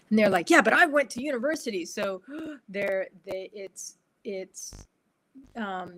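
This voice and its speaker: A woman's fairly slow speech with lively intonation, big swings in loudness, and long, frequent pauses. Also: medium pitch for a woman. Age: 60s. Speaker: behavioural scientist and instructional designer. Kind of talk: casual chat. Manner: halting.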